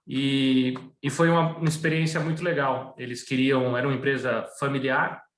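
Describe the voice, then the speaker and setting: Audible room echo surrounds a man with fairly high pitch. He keeps a moderate pace and fairly even intonation. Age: 40s. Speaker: asset management executive. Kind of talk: webinar interview.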